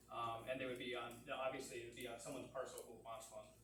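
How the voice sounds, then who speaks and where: The room echo can be clearly heard. Background noise is noticeable throughout. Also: man. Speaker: planning consultant. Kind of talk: public meeting presentation. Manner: fast; halting, repeats words.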